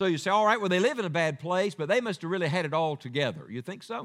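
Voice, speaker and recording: A man with a high-pitched voice and an Appalachian accent speaks with very wide pitch swings. The recording is very clean, with a silent background. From West Virginia. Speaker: evangelist preacher. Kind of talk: sermon. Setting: church.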